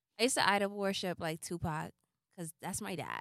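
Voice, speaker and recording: A woman's bright, sharp tone at a moderate pace, in a dry, close sound with no echo. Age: 20s. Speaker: podcast co-host. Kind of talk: casual chat.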